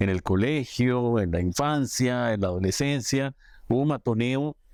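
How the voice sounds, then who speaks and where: A man's medium-pitched, normal speaking voice at a fairly slow pace, with ordinary pitch variation. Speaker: economics TV show host. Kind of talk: TV interview questions.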